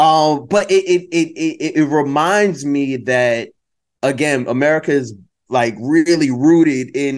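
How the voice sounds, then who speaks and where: A man's fairly high voice at a fairly slow pace, with ordinary pitch variation and an unremarkable speaking voice. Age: 30s. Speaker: storyteller and creative producer. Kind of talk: casual chat.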